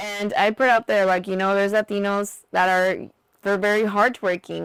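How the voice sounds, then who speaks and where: Medium-pitched speech from a woman in a Mexican accent, monotone and flat, on a very clean recording with a silent background. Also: dry, close sound with no echo. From Laredo, Texas / Mexico border. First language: Spanish. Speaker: former beauty pageant contestant. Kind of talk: interview, personal story. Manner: code-switching English and Spanish.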